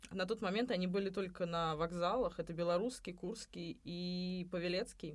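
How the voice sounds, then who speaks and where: Hardly any pauses break up speech delivered at a moderate pace. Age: 30s. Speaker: cafe owner and restaurant consultant. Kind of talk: podcast interview.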